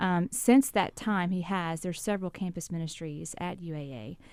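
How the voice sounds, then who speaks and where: On a very clean recording with a silent background, a woman with a Southern US accent speaks in a dark, mellow tone at a fairly low pitch. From South Louisiana. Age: 40s. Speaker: campus minister. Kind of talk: radio interview. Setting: radio studio.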